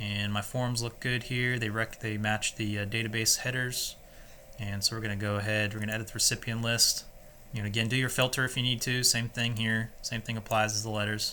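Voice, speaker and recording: A man at a fairly quick pace with monotone, flat intonation. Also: medium pitch for a man. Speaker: software tutorial presenter. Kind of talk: screen-recorded tutorial. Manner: casual, halting with many fillers; fast.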